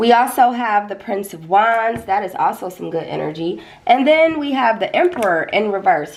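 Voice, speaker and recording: A woman's fairly high voice with very wide pitch swings at a moderate pace, amid noticeable background noise. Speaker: tarot reader. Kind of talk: tarot reading. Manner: casual, conversational.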